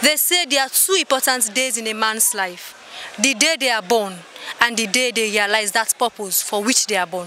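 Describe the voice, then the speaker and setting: The delivery moves at a moderate pace with ordinary pitch variation. The sound is dry with no echo, and there is light background noise. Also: woman. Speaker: candidate. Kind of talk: interview answer. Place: street. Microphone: handheld.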